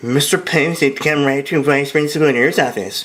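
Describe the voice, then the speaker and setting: A man does a shrill put-on character voice, fairly high in pitch. He talks fairly quickly, with ordinary pitch variation and very even loudness. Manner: mocking.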